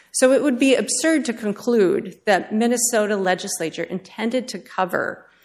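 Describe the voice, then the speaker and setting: A woman talks in an ordinary speaking voice. Her pace is moderate, with ordinary pitch variation. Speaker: government appellate attorney. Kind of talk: appellate oral argument. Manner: formal.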